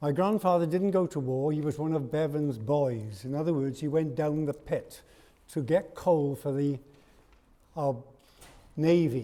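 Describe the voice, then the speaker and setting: Man with a Welsh accent, fairly high-pitched but dark and mellow in tone, ordinary pitch variation, fairly slow with long, frequent pauses. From South Wales. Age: 80s+. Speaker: parliamentary candidate. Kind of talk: hustings speech.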